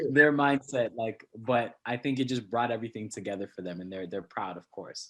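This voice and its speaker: Fairly quick delivery with hardly any pauses and ordinary pitch variation. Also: man, medium pitch for a man. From Canada, Scarborough, Toronto. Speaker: poet. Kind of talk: interview.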